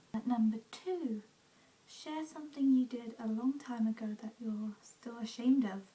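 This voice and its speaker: Whispering and soft-spoken at a moderate pace, the voice sits over noticeable background noise. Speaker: beauty/lifestyle vlogger. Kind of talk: casual vlog monologue. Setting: at home. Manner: whispering, soft; hesitant, many fillers.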